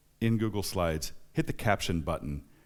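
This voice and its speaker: The recording is very clean with a silent background. A man speaks at a fairly low pitch. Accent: American. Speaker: software testing conference speaker. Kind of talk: conference keynote. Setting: stage with audience. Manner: fast; casual.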